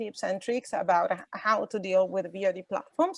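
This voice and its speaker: A woman with an Italian accent speaks at a moderate pace in a medium pitch, her voice dry and close with no echo. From Italy. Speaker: VOD industry association representative. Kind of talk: online workshop presentation. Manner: halting, many fillers.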